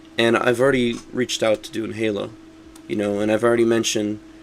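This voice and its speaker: Against noticeable background noise, a man talks at a fairly quick pace with a fairly low pitch. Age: 20s. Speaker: gaming streamer. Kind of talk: casual chat. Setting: live stream. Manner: fast.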